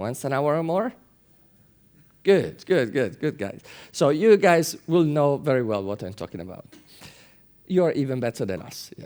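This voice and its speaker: A man with a dark, mellow tone and fairly high pitch speaks at a moderate pace, his pitch swinging very widely and his loudness rising and falling sharply, with long, frequent pauses. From Italy. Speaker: conference speaker. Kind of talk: conference talk. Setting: conference room with audience.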